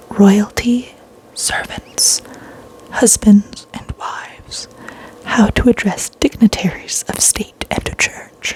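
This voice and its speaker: Against noticeable background noise, there is a woman whispering. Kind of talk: reading a vintage book's table of contents aloud.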